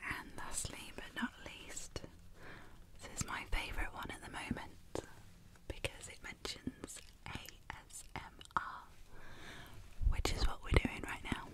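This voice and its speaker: Someone whispers in a soothing tone at a fairly slow pace. Long pauses come often. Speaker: ASMR artist and illustrator. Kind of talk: ASMR whisper video. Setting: binaural microphone, close up. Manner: whispered, soothing. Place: home room. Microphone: studio mic.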